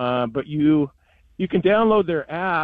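A man with an unremarkable speaking voice, fairly high in pitch, at a moderate pace. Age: 60s. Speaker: sports radio host. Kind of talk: casual chat.

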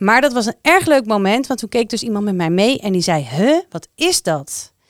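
This woman's medium-pitched voice moves at a moderate pace through very wide pitch swings. The recording is very clean and dry, with a silent background, a close sound and no echo. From The Hague, Netherlands. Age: 40s. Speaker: municipal civil servant. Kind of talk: casual chat. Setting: studio.

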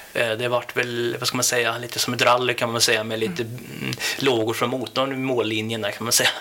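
There is noticeable background noise as a man speaks fairly quickly. His medium-pitched voice stays flat and monotone. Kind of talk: interview. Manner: halting.

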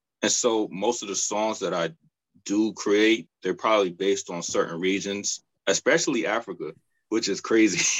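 A man speaks in an ordinary speaking voice at a moderate pace, his fairly low pitch carrying fairly even intonation. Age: 20s. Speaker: cellist. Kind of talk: interview. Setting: studio.

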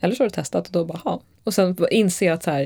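Speaking at a very fast pace, a woman uses a fairly low pitch, ordinary pitch variation and a dark, mellow tone. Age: 30s. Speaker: photographer. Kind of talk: casual interview.

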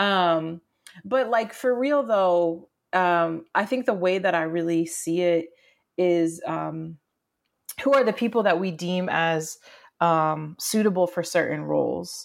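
A woman's fairly low voice at a very slow pace, with ordinary pitch variation, on a very clean recording with a silent background. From rural Maine. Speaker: community organizer. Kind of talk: interview.

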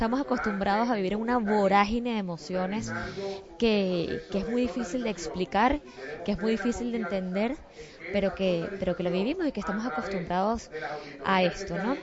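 Over noticeable background noise, a woman of medium pitch talks at a moderate pace with ordinary pitch variation. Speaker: news host. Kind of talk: interview.

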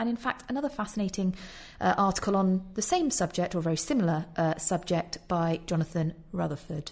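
A woman's somewhat breathy voice sits at medium pitch with lively intonation. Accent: British. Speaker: podcast host. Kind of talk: casual discussion of an article.

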